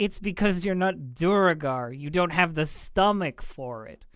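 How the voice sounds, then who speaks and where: This is a put-on character voice, gravelly and at a middle pitch. It moves along at a moderate pace. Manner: dismissive, scornful.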